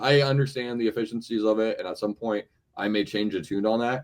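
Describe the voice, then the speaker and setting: This is a man with a medium-pitched voice. He talks at a moderate pace. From Florida. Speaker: university athletics administrator. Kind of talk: interview. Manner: halting, many repetitions.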